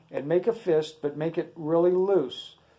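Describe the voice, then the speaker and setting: This man has a high pitch and a dark, mellow tone. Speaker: guitar teacher. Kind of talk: tutorial. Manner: casual.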